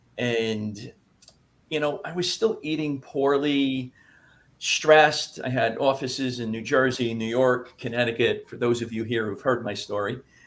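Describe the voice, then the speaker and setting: This man speaks in a plain, everyday voice at a medium pitch and a fairly slow pace, with ordinary pitch variation. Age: 60s. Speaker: health practitioner. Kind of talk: testimony.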